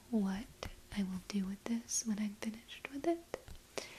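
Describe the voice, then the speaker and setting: Speaking at a very slow pace, a woman with a medium pitch comes through over noticeable background noise. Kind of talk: ASMR crochet video, casual talk to camera.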